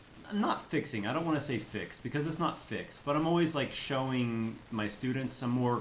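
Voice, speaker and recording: A man with a slight Kansas accent talks at a moderate pace. Audible room echo and noticeable background noise are present. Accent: light Kansas. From US Midwest, Kansas. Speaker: English teacher and YouTuber. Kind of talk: casual chat.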